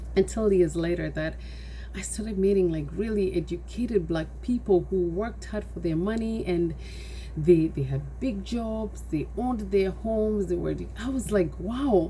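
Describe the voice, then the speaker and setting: A woman with a Kenyan accent speaks at a moderate pace amid noticeable background noise and audible room echo. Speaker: nonprofit founder. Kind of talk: personal testimony.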